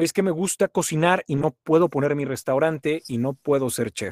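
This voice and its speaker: A man with a normal speaking voice and a fairly high pitch talks at a moderate pace, in a dry, close sound with no echo. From Monterrey, Nuevo León, northern Mexico. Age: 40s. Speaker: voice-over announcer and sales trainer. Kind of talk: casual interview chat.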